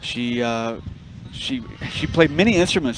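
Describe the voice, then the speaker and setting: Here a man speaks at a medium pitch with ordinary pitch variation. Noticeable background noise can be heard. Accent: American. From Los Angeles, US. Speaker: jazz musician, bandleader. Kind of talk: radio interview. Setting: backstage at festival.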